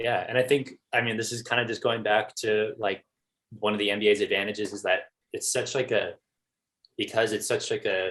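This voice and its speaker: A man speaks at a fairly quick pace with an American accent. He leaves long, frequent pauses. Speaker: sports blogger. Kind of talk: casual chat. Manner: monotone.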